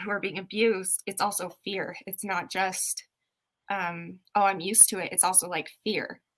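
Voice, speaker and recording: At a moderate pace, a woman talks with a medium pitch, monotone, flat intonation and vocal fry. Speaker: podcast co-host. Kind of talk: casual chat. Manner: stuttery.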